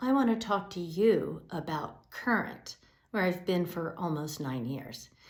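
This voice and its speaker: With an American accent, a woman speaks at a fairly low pitch and a fairly slow pace, her voice moving in very wide pitch swings. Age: 60s. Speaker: executive director of a public media news outlet. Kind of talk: scripted address to supporters.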